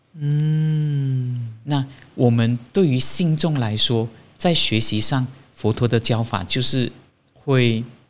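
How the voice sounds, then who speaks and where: At a very slow pace, a man speaks at medium pitch with ordinary pitch variation. The recording is very clean, with a silent background. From Malaysia. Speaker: Buddhist monastic. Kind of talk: interview. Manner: cheerful.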